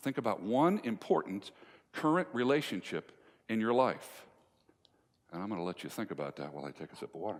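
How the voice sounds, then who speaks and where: A man's fairly low voice with vocal fry and very wide pitch swings, on a very clean recording with a silent background. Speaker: motivational speaker on communication and relationships. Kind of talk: live speech to an audience, storytelling. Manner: conversational, humorous, engaging.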